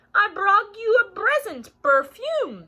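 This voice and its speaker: A woman's put-on character voice, squeaky and extremely high-pitched, with very wide pitch swings. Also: fairly slow pace. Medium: read story.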